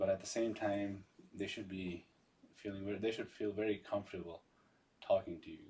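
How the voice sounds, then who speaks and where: The speaker uses fairly even intonation and a moderate pace, in a Pashto accent. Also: man. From Pakistan, Peshawar. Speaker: community member, father. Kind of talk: casual interview chat.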